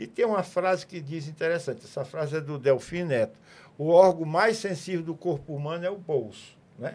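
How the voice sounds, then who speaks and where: A man at high pitch speaks at a moderate pace with ordinary pitch variation and big swings in loudness. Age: 80s+. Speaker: physician and businessman. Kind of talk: interview. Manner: halting.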